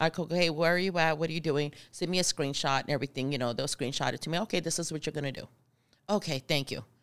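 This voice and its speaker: A woman's very deep, low voice with an American accent, a very fast pace and ordinary pitch variation, on a very clean recording with a silent background. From Arizona. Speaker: truck driver trainer. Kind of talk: casual interview.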